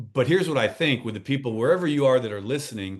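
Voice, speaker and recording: Lively intonation from a man with an unremarkable speaking voice at fairly high pitch, over a quiet background. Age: 60s. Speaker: transformational coach and speaker. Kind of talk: podcast interview.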